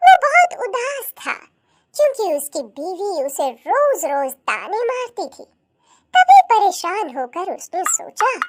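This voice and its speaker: In a squeaky, put-on character voice, the speaker uses an extremely high pitch with very wide pitch swings at a very slow pace. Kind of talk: children's cartoon story narration. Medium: cartoon. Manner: even, explanatory.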